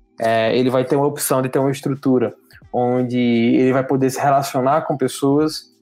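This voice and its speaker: With music in the background, a man talks at a moderate pace and medium pitch. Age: 20s. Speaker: hospitality entrepreneur. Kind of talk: casual interview.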